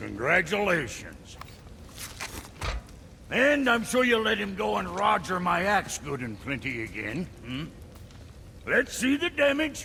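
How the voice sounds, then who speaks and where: Speaking in a gruff, put-on character voice pitched high for a man, he talks at a fairly slow pace with long, frequent pauses over clear background noise. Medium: video game. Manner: gruff, profane, grumbling.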